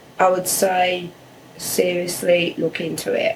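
With noticeable background noise, a woman speaks in an English accent. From England. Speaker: immigrant guest. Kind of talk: interview.

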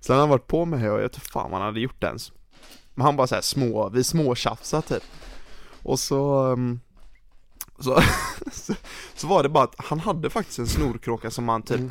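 A man speaks at a moderate pace with a medium pitch. His pitch moves in an ordinary way, broken by long, frequent pauses. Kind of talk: casual chat. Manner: casual.

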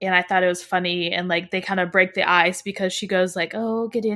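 The woman has an unremarkable speaking voice at a medium pitch with ordinary pitch variation. She talks fairly quickly, with hardly any pauses. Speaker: podcast host. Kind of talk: casual book review discussion. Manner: casual, chatty.

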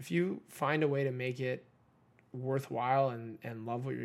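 A man with an American accent has a plain, everyday voice. He speaks at medium pitch and a moderate pace. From Southern California (Redondo Beach). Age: 20s. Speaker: ex-pro hockey player, youth coach and real estate agent. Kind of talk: casual interview.

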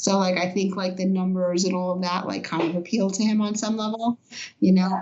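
A woman at a medium pitch speaks with an American accent at a moderate pace, with noticeable background noise and audible room echo. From New York City, Brooklyn. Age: 50s. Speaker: event organizer. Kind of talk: interview.

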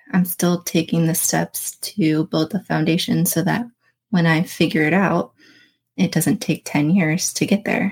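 Speaking at a fairly slow pace with vocal fry, a woman with an American accent keeps a fairly low pitch and very even loudness. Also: ordinary pitch variation. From Florida, Daytona Beach. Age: 30s. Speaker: mental health advocate, person in recovery. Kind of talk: casual interview chat. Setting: studio.

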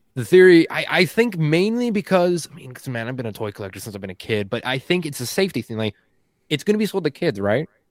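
A man talks at a very fast pace with a fairly high pitch, very wide pitch swings and big swings in loudness. The sound is dry and close, with no echo. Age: 20s. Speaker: podcast contributor, toy collector. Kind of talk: casual chat. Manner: animated.

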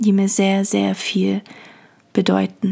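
Calm and soothing in tone, a woman speaks at a fairly slow pace with monotone, flat intonation. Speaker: podcast host and poet. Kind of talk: poetry reading, meditative. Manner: slow, calm, soothing, lyrical; warm, intimate.

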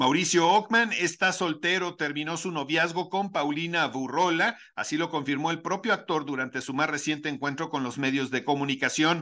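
The man's voice is bright and sharp, fairly high in pitch, with ordinary pitch variation. He keeps a moderate pace with hardly any pauses against a quiet background. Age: 50s. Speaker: news radio host. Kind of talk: news reading.

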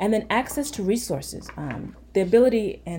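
There is vocal fry in this woman's dark, mellow tone. Her intonation is lively. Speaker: pediatrician. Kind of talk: informative interview.

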